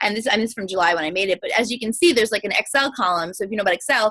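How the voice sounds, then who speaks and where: A woman's fairly high voice with a bright, sharp tone and ordinary pitch variation, dry and close with no echo. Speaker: fitness coach. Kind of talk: coaching call presentation. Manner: fast.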